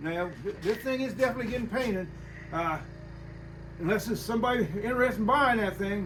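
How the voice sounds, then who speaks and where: Amid audible room echo and noticeable background noise, a man with a high pitch and ordinary pitch variation speaks very fast, yet with long, frequent pauses. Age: 70s. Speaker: hot rod garage owner. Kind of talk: casual chat.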